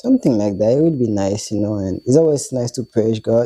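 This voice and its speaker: A man's medium-pitched voice, dark and mellow, with ordinary pitch variation and a non-native accent. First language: not English. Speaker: co-host of Bible study channel. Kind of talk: casual chat. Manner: halting.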